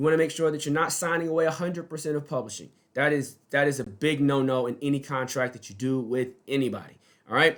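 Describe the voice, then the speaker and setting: Against a silent background on a very clean recording, a man talks at a fairly quick pace. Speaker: music business advisor. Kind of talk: advice video monologue. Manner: fast.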